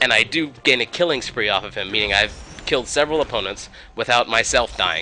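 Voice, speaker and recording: Noticeable background noise sits behind the voice. A man talks at a very fast pace. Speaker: gaming video narrator. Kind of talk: gameplay commentary.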